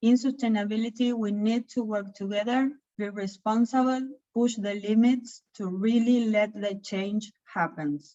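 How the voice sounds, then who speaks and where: A woman's somewhat breathy voice, dark and mellow in tone, with fairly even intonation at a moderate pace. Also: fairly high pitch for a woman. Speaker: chamber of commerce sustainability leader. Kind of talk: webinar presentation.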